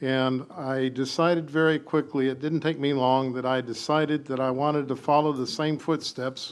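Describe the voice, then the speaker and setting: At a moderate pace, a man with an American accent speaks in a monotone, flat way at a fairly high pitch. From St. Cloud, Florida. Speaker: city council candidate, building contractor, veteran. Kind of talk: candidate forum opening statement. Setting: city hall chambers with audience.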